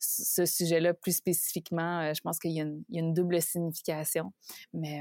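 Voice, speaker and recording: A woman with a fairly low pitch speaks at a moderate pace in a monotone, flat intonation, in a very clean recording with a silent background and a dry, close sound with no echo. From Quebec. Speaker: leadership coach. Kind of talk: interview.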